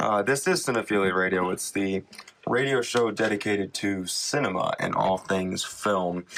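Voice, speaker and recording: Noticeable background noise sits behind a man talking at a fairly slow pace. His pitch is fairly low and his intonation fairly even. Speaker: student radio host. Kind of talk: casual radio talk.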